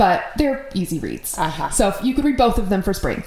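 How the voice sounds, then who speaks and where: A woman speaks in an ordinary speaking voice. Her intonation is lively. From Minnesota. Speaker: podcast host. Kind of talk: casual chat.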